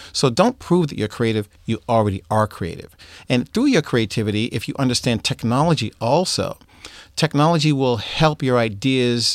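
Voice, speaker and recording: A man with an American accent speaks in a plain, everyday voice at a moderate pace, with ordinary pitch variation. The sound is dry and close with no echo, in a very clean recording with a silent background. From Boston. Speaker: music producer and professor. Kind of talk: interview.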